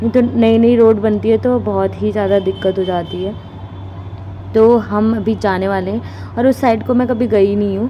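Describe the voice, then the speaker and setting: There is noticeable background noise in this recording. A woman talks at a moderate pace. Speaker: vlogger. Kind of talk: casual vlog narration. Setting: outdoors walking, then in a car.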